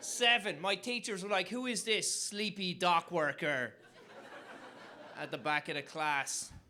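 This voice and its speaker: Using a raised, projected voice, a man with a high pitch speaks at a fairly slow pace, with lively intonation and long, frequent pauses. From Ireland. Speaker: comedian. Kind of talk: stand-up. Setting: stage with audience.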